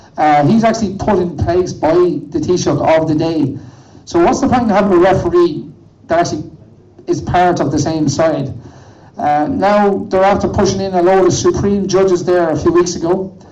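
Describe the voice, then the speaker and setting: With audible room echo, a man talks at a moderate pace in a high voice, his loudness very even and his pitch varying in an ordinary way. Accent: Irish. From Ireland. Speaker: protest activist. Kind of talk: protest speech.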